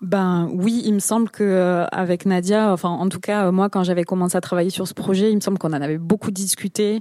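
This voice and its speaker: A woman's medium-pitched, dark and mellow voice, monotone and flat, at a fairly quick pace with hardly any pauses, in a dry, close sound with no echo. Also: very clean recording, silent background. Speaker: podcast creator. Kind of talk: panel discussion. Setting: stage with audience.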